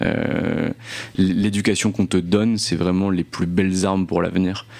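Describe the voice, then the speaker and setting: Noticeable background noise sits behind a man's very deep, low voice. He speaks in a monotone, flat intonation. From northeastern France (Nancy). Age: 20s. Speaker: entrepreneur. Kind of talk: interview. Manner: halting, many repeated words.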